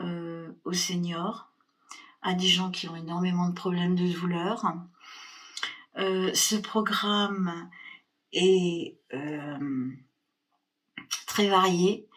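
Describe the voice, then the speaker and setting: In a room with audible echo, a woman speaks at a very slow pace with long, frequent pauses, a fairly low pitch and fairly even intonation. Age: 60s. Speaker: fitness program member. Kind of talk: testimony. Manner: hesitant, many fillers.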